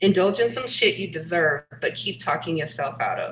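Over light background noise, a woman with a New York accent speaks at a fairly slow pace. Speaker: photographer and visual artist; panelist. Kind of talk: panel presentation. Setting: video call. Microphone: webcam.

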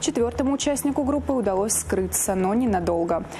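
Words come at a very fast pace, with noticeable background noise in the clip. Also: woman. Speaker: police press officer presenting crime news. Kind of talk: news reading. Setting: studio.

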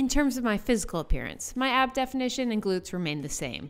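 A woman speaks at a fairly high pitch and a fairly quick pace.

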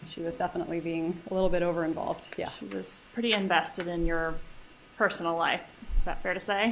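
A woman at a very fast pace, fairly low in pitch with fairly even intonation, over light background noise. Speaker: trial attorney. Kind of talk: courtroom cross-examination. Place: hall.

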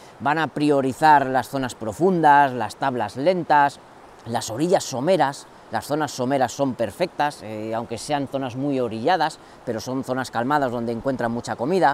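There is light background noise as a man talks with ordinary pitch variation in a dry sound with no echo. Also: moderate pace. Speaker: fishing channel host. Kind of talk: tutorial. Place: waterside.

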